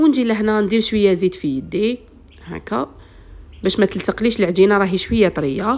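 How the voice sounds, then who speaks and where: A fairly quick, lively delivery in an Algerian accent, with vocal fry. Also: woman, medium pitch for a woman. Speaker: cooking channel host. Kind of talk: cooking tutorial. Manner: strained, speaking with effort.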